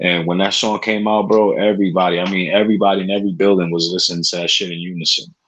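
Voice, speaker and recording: A man with a New York accent, very fast and with hardly any pauses, his fairly low pitch in a monotone, flat intonation. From New York City, Spanish Harlem. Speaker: podcast host. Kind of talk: casual chat.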